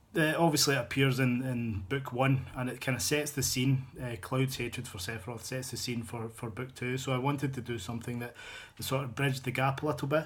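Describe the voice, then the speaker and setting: In a strong Glaswegian accent, a man talks at a fairly quick pace with medium pitch and fairly even intonation. His voice is somewhat breathy, and the room echo is audible. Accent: thick Glaswegian Scottish. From Scotland, Glasgow. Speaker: novelist, fan fiction author. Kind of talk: casual video blog. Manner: hesitant, many fillers and repetitions.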